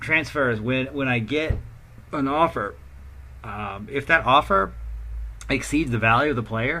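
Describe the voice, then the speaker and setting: With an American accent, a man speaks at a fairly slow pace with long, frequent pauses. His tone is bright and sharp, and his pitch varies in an ordinary way. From United States. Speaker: video game streamer. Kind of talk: gameplay commentary. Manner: halting, many fillers; casual.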